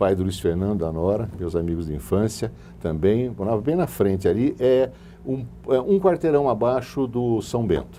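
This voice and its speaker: Amid noticeable background noise, a man with a fairly low pitch talks at a moderate pace with lively intonation. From Brazil, Sorocaba. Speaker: businessman. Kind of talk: interview.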